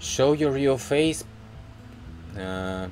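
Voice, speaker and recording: A man speaks at a very slow pace with lively intonation, his voice carrying audible room echo over music in the background. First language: Russian. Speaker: video blogger. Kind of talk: casual commentary to camera. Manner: halting, many fillers.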